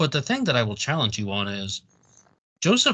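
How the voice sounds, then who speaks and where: A man talks with an American accent and a bright, sharp tone. The background is quiet. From West Virginia. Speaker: podcast host. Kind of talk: interview conversation.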